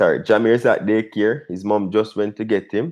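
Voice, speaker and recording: The speaker is male. Nothing much can be heard behind him. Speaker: cooking channel host. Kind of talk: casual live stream chat. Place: home room.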